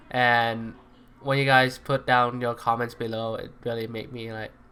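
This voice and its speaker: This man has a medium pitch and a non-native accent. His intonation is monotone and flat. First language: not English. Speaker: gaming YouTuber. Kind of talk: tutorial. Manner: hesitant, many fillers.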